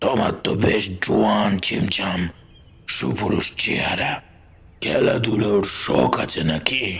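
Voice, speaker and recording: A put-on character voice, raspy and very slow in pace. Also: man, fairly low pitch for a man. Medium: read story. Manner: warm but commanding.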